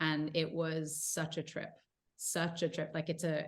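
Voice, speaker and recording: In a South African accent, a woman speaks with a very deep, low pitch on a very clean recording with a silent background. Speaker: actor. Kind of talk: interview. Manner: casual, many fillers.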